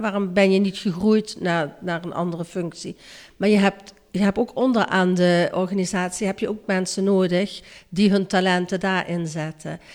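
A woman speaks in a flat monotone at a moderate pace. Her pitch is medium. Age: 60s. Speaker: childcare worker. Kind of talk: interview.

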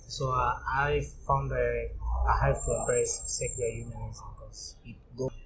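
Moderate pace, big swings in loudness and audible room echo. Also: man. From Tanzania. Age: 30s. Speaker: medical doctor. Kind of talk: interview. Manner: hesitant, many fillers.

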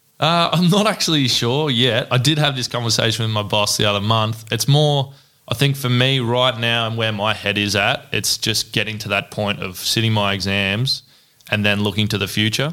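Pitch varies in an ordinary way as the talking proceeds at a moderate pace. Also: man, medium pitch for a man. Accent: Australian. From Australia, Ballarat, Victoria. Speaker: electrical apprentice. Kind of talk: casual interview.

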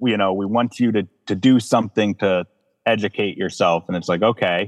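Over music in the background, a man speaks at a moderate pace with a fairly low pitch. The sound is dry and close with no echo, and his pitch varies in an ordinary way. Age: 30s. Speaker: counseling client. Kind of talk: emotional personal testimony.

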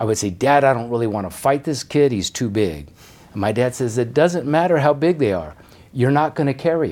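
A man with an American accent talks at a medium pitch and a fairly quick pace, with lively intonation. It is a plain, everyday voice. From Denver, Colorado. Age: 60s. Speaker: retired boxing referee. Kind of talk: casual interview.

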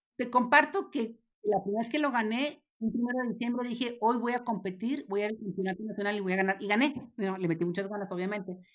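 A woman races along very fast, her fairly high pitch shifting in an ordinary way. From Mexico, Ciudad Juárez. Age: 50s. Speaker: former federal legislator. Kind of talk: interview conversation.

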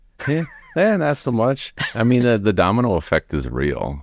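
A man talks with vocal fry and lively intonation. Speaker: renovation production manager, podcast guest. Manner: calm.

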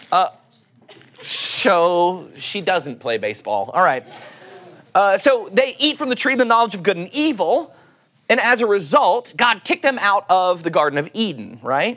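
The speaker has an Oklahoma accent and keeps a moderate pace. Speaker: pastor. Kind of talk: sermon.

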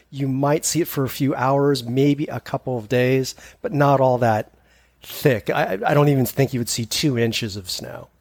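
A man with a West Coast accent and ordinary pitch variation. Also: medium pitch for a man, moderate pace. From Northern California, East Bay. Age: 50s. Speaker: hiker. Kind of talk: casual chat.

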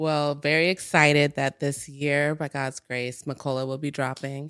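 A woman's very deep, low voice with an American accent, over music in the background. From US Midwest, Minnesota. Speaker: entrepreneur. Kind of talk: casual chat.

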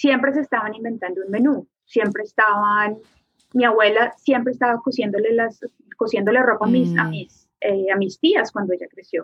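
This is a woman with a normal speaking voice. She talks at a moderate pace with ordinary pitch variation. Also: fairly high pitch for a woman. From Colombia. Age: 30s. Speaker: artist. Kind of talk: casual interview.

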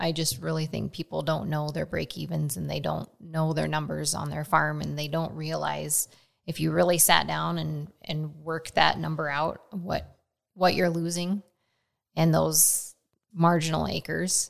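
A woman speaks in a Midwestern American accent. Her pace is fairly slow. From Nebraska. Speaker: farmer. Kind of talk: casual chat. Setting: on location. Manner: talkative.

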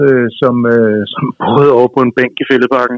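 Dry and close with no echo, a man's voice comes through at a medium pitch. He speaks at a fairly slow pace. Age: 60s. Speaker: business executive. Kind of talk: interview. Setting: phone call. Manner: halting.

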